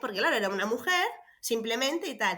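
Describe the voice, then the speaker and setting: Her high voice racing along at a very fast pace, a woman talks with lively intonation. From Venezuela. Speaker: parenting coach and special education teacher. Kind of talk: casual interview conversation. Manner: hesitant, many fillers and repetitions.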